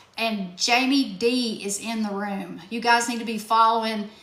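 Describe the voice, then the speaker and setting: A woman speaks in a fairly high, monotone, flat voice. Room echo can be heard. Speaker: self-help workshop host. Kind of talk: live-stream workshop. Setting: TikTok live stream.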